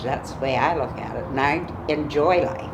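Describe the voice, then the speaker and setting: A woman with a very deep, low pitch and fairly even intonation at a fairly slow pace, with audible room echo and noticeable background noise. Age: 80s+. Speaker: interviewee in a documentary on aging. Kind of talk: documentary interview.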